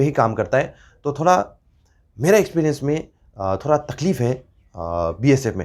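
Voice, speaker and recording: In a very clean recording with a silent background, a man speaks with a Nepali accent. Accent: Nepali-accented Hindi, weak pronunciation. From Northeast India, Nepali community. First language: Nepali (speaking Hindi). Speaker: YouTuber, former paramilitary member. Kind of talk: casual informational vlog. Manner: halting, many fillers.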